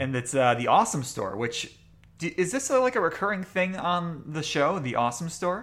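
Against noticeable background noise, a man speaks at a moderate pace in a high voice with very wide pitch swings. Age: 30s. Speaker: podcast host. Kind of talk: casual chat.

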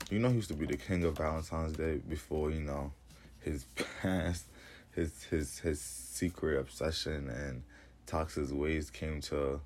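A man with a very deep, low pitch, vocal fry and ordinary pitch variation at a fairly slow pace. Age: 20s. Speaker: podcast host. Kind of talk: casual chat. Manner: animated.

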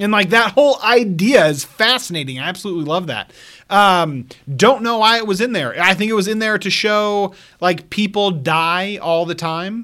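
A man projects a raised, high-pitched voice with a bright, sharp tone on a very clean recording with a silent background. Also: ordinary pitch variation, moderate pace. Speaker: movie podcast host. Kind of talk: casual banter, movie discussion.

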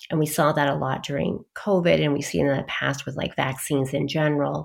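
Vocal fry marks a woman's speech at a moderate pace. The recording is very clean, with a silent background. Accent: American. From US and London. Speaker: psychiatrist. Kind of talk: interview.

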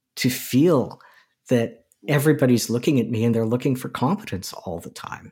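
Here a man speaks at a medium pitch with a dark, mellow tone. The recording is very clean, with a silent background. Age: 60s. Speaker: movement guide and anti-ageism advocate. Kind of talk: interview.

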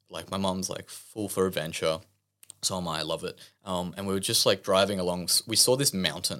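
A man with an Australian accent speaks at a fairly quick pace in a very deep, low voice with a bright, sharp tone. His pitch varies in an ordinary way, and the recording is very clean with a silent background. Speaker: church member. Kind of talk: testimony.

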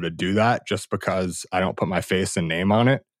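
A man's fairly low voice, dry and close with no echo, on a very clean recording with a silent background. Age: 20s. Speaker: anonymous blogger and former investment banker. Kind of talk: casual interview conversation. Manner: halting, many repeated words and fillers.

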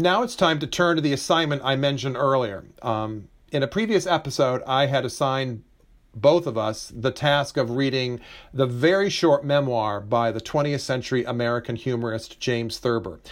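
With an ordinary speaking voice, a man talks at a moderate pace and a medium pitch with ordinary pitch variation, on a very clean recording with a silent background. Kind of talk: casual conversation about books.

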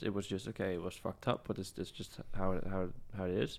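This man's voice has a fairly low pitch. He gets his words out at a very fast pace. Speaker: filmmaker. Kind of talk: casual interview chat. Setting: at his home. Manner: fast talker.

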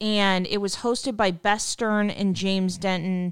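A woman sounds enthusiastic and animated. Her recording is very clean, with a silent background and a dry, close sound with no echo. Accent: American. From Seattle, US Pacific Northwest. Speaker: podcast host. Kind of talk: casual interview. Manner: enthusiastic, animated.

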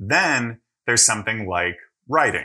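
The voice is bright and sharp in tone and moves at a fairly slow pace. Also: man, very clean recording, silent background. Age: 30s. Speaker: podcaster and one-man show performer. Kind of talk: casual chat. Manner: clear diction.

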